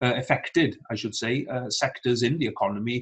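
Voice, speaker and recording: A somewhat breathy male voice against a quiet background. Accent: Welsh. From Wales. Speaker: politician, show host. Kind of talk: interview. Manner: hesitant with frequent fillers. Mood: calm, friendly. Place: home room. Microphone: video call.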